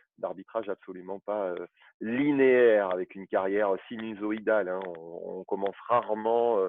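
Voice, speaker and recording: This is a man with a plain, everyday voice, pitched fairly low for a man. He speaks at a moderate pace with fairly even intonation and big swings in loudness. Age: 40s. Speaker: football referee. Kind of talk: interview.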